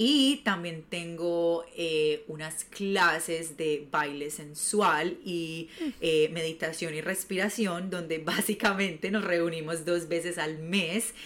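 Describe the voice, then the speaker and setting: At a very slow pace, a woman talks in a fairly low pitch with ordinary pitch variation over noticeable background noise. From Colombia, Medellín. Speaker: sensuality and self-love coach. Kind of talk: casual interview chat.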